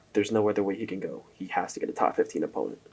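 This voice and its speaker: A man speaks quietly. His pace is fairly quick. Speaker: MMA commentary youtuber. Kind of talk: casual commentary monologue. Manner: casual, halting with fillers.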